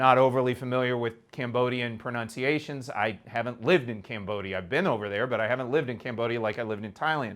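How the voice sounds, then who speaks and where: In a Kansas accent, a man at a medium pitch speaks very fast with hardly any pauses and ordinary pitch variation. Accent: Kansas, American Midwestern. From Kansas, USA.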